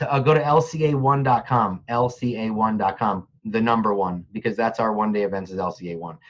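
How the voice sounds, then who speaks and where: With an American accent and an unremarkable speaking voice, a man at medium pitch talks at a fairly slow pace with hardly any pauses and ordinary pitch variation. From New Jersey (Montclair). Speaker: real estate agent and industry trainer. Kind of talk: casual interview.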